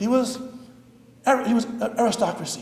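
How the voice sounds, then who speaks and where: With an American accent and an extremely high pitch, a man speaks amid noticeable background noise and audible room echo. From US Pacific Northwest, Seattle. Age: 60s. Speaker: rabbi. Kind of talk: lecture. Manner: halting.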